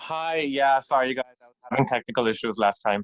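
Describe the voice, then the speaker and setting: A man talks in a normal speaking voice, fairly high in pitch with ordinary pitch variation, at a fairly quick pace. The sound is dry and close, with no echo. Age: 20s. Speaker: audience member. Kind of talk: casual chat. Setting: video call.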